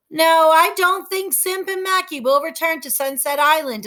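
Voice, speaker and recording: In a put-on character voice, a woman speaks at an extremely high pitch and a moderate pace, her loudness swinging widely. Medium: read story. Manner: warm, affectionate.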